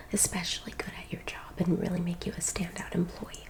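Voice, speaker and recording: A woman speaks in a gentle tone. Noticeable background noise runs behind her. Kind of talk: asmr roleplay, soft spoken. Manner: soft-spoken, gentle.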